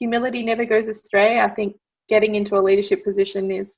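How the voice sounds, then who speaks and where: With an Australian accent, the speaker keeps a fairly even intonation. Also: woman. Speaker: medical engineer. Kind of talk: interview. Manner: loud.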